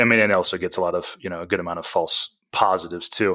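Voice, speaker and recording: Speaking at a very fast pace, a man has a very deep, low pitch. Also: very clean recording, silent background. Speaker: podcast host. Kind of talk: casual interview.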